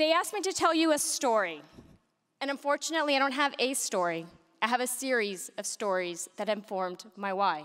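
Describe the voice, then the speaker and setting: A woman talks at a fairly quick pace in a high pitch with very wide pitch swings. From United States, Mexican American family. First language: Spanish. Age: 40s. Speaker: business executive, keynote speaker. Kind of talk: keynote speech.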